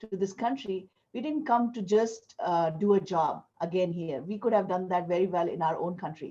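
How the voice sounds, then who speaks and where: A woman speaks with a dark, mellow tone and ordinary pitch variation. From India. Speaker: entrepreneur, guest speaker. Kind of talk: business presentation.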